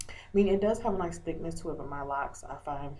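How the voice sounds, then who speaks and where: A woman's very deep, low voice, dark and mellow in tone, at a fairly quick pace amid audible room echo. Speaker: video blogger. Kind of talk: casual vlog update. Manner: hesitant, many fillers.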